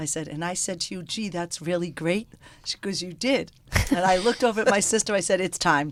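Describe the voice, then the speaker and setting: With a strong Boston accent, a woman talks at a fairly quick pace with medium pitch. Her pitch varies in an ordinary way, and her loudness swings widely. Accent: strong Boston North End. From Boston, North End. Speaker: restaurant owner, former hairdresser. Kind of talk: storytelling in radio interview. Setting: radio studio.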